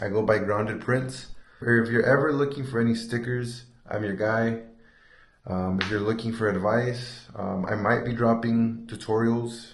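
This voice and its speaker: A man speaks at medium pitch in a somewhat breathy voice. His intonation is monotone and flat, with audible room echo. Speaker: sticker shop owner and vlogger. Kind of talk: casual shop tour vlog. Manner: fast; hesitant, some stuttering.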